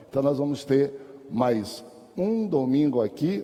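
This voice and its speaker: This is an ordinary speaking voice. It moves at a fairly slow pace. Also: man. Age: 60s. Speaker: pastor and Sunday school teacher. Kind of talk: Bible class lecture. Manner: conversational.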